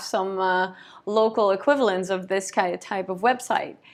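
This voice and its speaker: With a non-native accent, a woman is heard talking. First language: not English. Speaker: brand consultant and copywriter. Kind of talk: tutorial. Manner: hesitant, many fillers.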